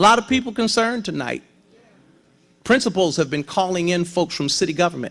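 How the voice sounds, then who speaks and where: A loud man with high pitch and lively intonation at a fairly quick pace, over a quiet background. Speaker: pastor. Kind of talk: sermon.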